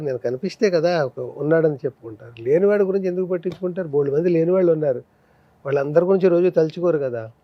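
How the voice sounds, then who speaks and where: Ordinary pitch variation marks this man's speech. His voice is high. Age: 70s. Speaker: film actor and comedian. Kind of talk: interview answer.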